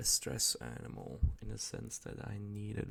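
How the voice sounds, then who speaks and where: A soft-spoken man talks at a very slow pace. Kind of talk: ASMR rambling, casual talk to camera. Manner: soft-spoken, rambly, groggy.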